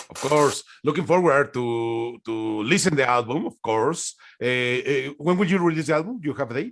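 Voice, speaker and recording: A man with a Spanish accent speaks at a moderate pace. His pitch is fairly high and his intonation lively. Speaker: music interviewer. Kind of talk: interview. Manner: halting.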